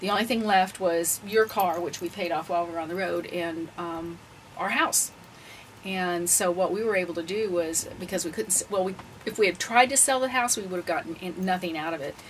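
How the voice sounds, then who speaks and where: Noticeable background noise sits behind this woman's voice. She speaks at a medium pitch with ordinary pitch variation. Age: 60s. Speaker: retired full-time RVer. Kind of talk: interview.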